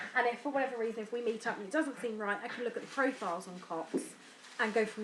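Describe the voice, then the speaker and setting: A woman talks at a very fast pace with an English accent and a fairly high pitch. Noticeable background noise sits behind her. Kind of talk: personal vlog. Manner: hesitant, mumbling.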